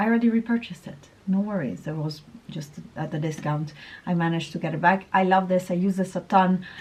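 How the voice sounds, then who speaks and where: A woman's somewhat breathy voice at medium pitch, with ordinary pitch variation and a moderate pace. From Italy. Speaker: beauty vlogger. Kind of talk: casual vlog talk. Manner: stumbling over words.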